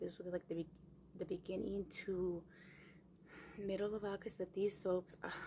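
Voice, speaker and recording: Somewhat breathy, a woman at medium pitch talks at a fairly quick pace. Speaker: ASMR youtuber. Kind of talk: tutorial. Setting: small room at home.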